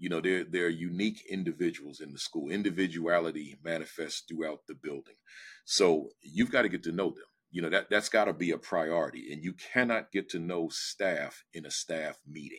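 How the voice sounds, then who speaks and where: A man with a very deep, low pitch speaks with big swings in loudness. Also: fairly even intonation, moderate pace, very clean recording, silent background. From New Jersey. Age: 60s. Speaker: education speaker and former principal. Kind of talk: interview conversation. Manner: direct, straight-talking.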